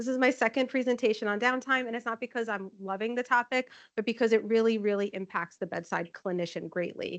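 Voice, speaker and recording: A woman's fairly quick, fairly evenly intoned speech over a quiet background. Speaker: nursing informatics manager presenting. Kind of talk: conference presentation. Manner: loud.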